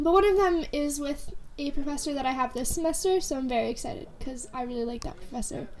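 A woman speaks at a very fast pace with a high pitch, with noticeable background noise and audible room echo. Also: ordinary pitch variation. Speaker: podcast co-host, college student. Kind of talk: casual chat.

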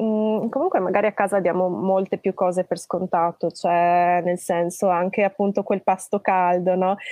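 Keeping very even loudness and hardly any pauses, a woman speaks at a moderate pace with medium pitch and monotone, flat intonation. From Trentino, Italy (born in Tuscany, moved at ten). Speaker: long-distance cycle traveller. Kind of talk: casual interview. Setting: live stream.

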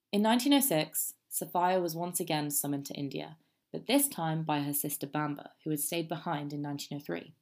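On a very clean recording with a silent background, a woman with a British accent speaks in a very deep, low pitch with ordinary pitch variation. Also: fairly quick pace. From England. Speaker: student history podcaster. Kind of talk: scripted narration.

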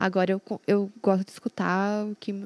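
On a very clean, dry, close recording with no echo and a silent background, a woman speaks at a medium pitch in a monotone, flat delivery. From Londrina, Paraná, Brazil. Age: 20s. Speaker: professional poker player, streamer, former taekwondo athlete. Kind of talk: casual chat.

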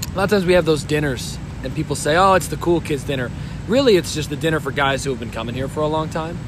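Noticeable background noise and audible room echo around very fast talk with ordinary pitch variation. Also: man, fairly high pitch for a man. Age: 20s. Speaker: tabletop baseball game player. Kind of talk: casual chat. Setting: at a convention.

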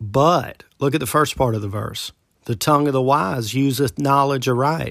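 An ordinary speaking voice from a man, fairly high in pitch, at a moderate pace with ordinary pitch variation, in a very clean recording with a silent background. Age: 40s. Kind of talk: Bible teaching monologue.

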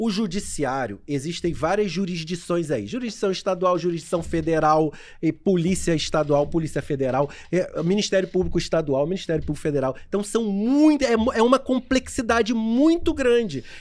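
With hardly any pauses, a man talks at a high pitch with very wide pitch swings. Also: moderate pace. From Niterói and São Gonçalo, Rio de Janeiro state, Brazil. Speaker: lawyer. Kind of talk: casual chat. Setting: video livestream.

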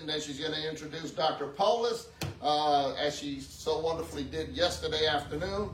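Moderate-paced speech from a man with a high voice, noticeable noise behind it. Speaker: pastor. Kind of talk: church announcements and exhortation. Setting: church.

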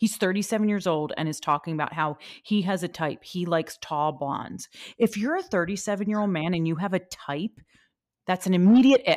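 A woman with an American accent uses an ordinary speaking voice at a medium pitch and a fairly quick pace, with ordinary pitch variation, in a very clean recording with a silent background. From Philadelphia, US. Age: 40s. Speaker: podcast host. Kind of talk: casual chat.

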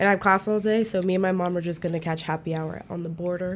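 In an ordinary speaking voice, a woman talks at a fairly quick pace with an American accent, her medium pitch carried on fairly even intonation. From New Jersey. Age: 20s. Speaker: education student and student producer. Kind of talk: casual interview. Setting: radio studio.

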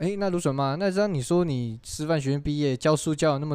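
Against a quiet background, a man speaks at a fairly quick pace and fairly high pitch in a normal speaking voice with ordinary pitch variation. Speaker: podcast host. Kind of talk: casual chat.

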